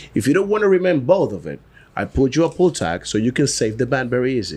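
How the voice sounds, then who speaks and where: With a Dominican accent, a man talks at a very fast pace and a medium pitch, using very wide pitch swings and vocal fry. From Dominican Republic. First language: Spanish. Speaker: cigar brand founder. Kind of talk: casual podcast interview.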